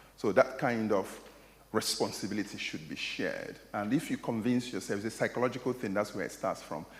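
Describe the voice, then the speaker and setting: Fairly quick speech in a Nigerian accent with ordinary pitch variation. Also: man, medium pitch for a man. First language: Igbo. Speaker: academic lecturer. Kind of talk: lecture Q&A answer. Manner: hesitant, repeating words.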